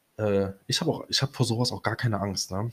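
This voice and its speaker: This man's voice is somewhat breathy. His intonation stays fairly even. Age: 20s. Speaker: podcast host. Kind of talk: casual monologue. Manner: hesitant, many fillers.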